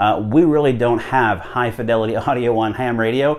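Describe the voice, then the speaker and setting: A man with ordinary pitch variation speaks at a moderate pace, the background quiet. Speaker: ham radio hobbyist. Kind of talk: tutorial. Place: home room. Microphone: lapel.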